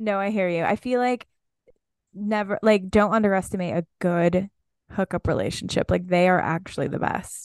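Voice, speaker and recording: With fairly even intonation over a quiet background, a woman speaks at a medium pitch in a plain, everyday voice. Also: moderate pace, dry, close sound with no echo. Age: 20s. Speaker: podcast co-host and fashion stylist. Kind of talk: casual chat.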